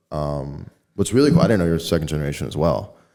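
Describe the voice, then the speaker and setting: A man is speaking. His tone is dark and mellow. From Chicago suburbs (Elmhurst, Illinois). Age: 20s. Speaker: mortgage lender. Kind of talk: casual interview chat. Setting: office podcast studio. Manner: halting, many fillers.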